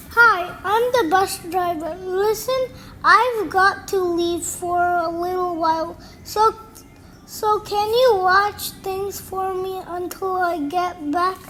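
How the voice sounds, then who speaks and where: A woman speaks very slowly in a whiny, put-on character voice. Background noise is clearly audible. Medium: read story. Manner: pleading, whiny.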